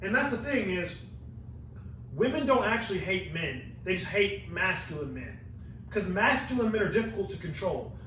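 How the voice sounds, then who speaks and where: Animated and with lively intonation, a man with a high pitch talks at a moderate pace over noticeable background noise and audible room echo. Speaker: podcast host and university student. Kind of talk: casual podcast conversation.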